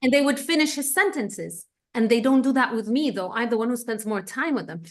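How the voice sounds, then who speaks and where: With an Egyptian accent, a woman speaks at a fairly quick pace in a high pitch, her intonation lively. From Egypt, Cairo. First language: Egyptian Arabic. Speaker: economist and researcher. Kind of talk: interview.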